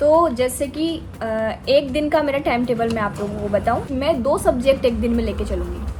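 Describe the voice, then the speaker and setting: Backed by music, a woman speaks at a moderate pace in a high pitch with ordinary pitch variation. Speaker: UPSC aspirant vlogger. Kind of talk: casual vlog talk. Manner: speaking louder than usual; hesitant fillers.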